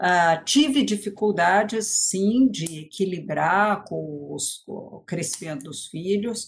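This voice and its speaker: Over a quiet background, a woman talks in a somewhat breathy voice. Her pitch is medium. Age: 60s. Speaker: education policy expert and former teacher. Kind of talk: lecture.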